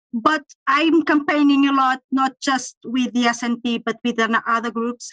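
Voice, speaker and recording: In a Portuguese accent, a woman speaks with a high pitch. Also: dry, close sound with no echo. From Portugal. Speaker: campaigner. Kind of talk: online panel discussion. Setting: video call.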